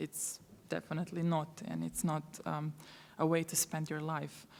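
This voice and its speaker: A woman speaks with a Croatian accent. Her pace is moderate. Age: 30s. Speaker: refugee aid worker. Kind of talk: conference talk. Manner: halting, many fillers.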